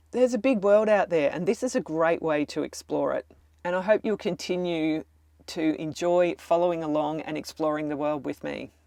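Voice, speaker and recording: Against a quiet background, a woman with a dark, mellow tone and a fairly low pitch talks at a moderate pace with lively intonation. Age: 60s. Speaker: travel vlogger. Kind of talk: vlog monologue to camera.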